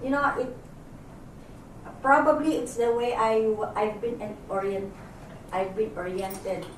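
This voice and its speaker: Amid noticeable background noise and audible room echo, a woman with a fairly high pitch talks at a fairly slow pace, pausing long and often. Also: ordinary pitch variation. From Philippines. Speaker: journalist. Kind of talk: group discussion. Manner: halting.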